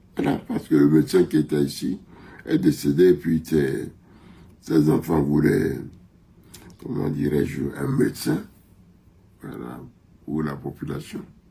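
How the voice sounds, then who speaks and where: Slowish and full of long, frequent pauses, a man speaks with a very deep, low pitch, a dark, mellow tone and vocal fry. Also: ordinary pitch variation. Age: 80s+. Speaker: country doctor. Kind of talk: interview.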